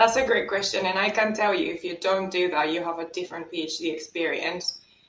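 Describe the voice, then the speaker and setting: A woman speaks at a fairly quick pace with a Spanish accent. Her pitch is medium, with ordinary variation. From Spain. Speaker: economics lecturer. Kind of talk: podcast interview.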